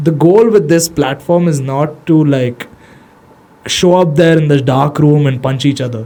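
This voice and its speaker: A man's fairly high-pitched voice with an Indian accent, ordinary pitch variation and a fairly slow pace, over noticeable background noise. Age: 20s. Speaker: social media manager for an MMA gym, podcast guest. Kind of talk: casual podcast conversation. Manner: casual, slangy.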